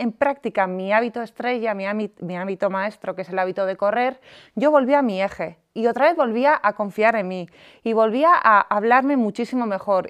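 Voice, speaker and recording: An unremarkable speaking voice moves at a moderate pace with lively intonation. The sound is dry and close with no echo, and the background is quiet. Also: woman. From Basque Country, San Sebastián. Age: 30s. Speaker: life coach and entrepreneur. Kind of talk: podcast interview.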